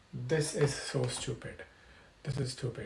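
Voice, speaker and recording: A man with a non-native accent talks at a fairly slow pace, his fairly high voice somewhat breathy, with ordinary pitch variation. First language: not English. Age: 20s. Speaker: streamer. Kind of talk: live stream rant. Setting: live stream. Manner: repetitive, halting restarts; animated.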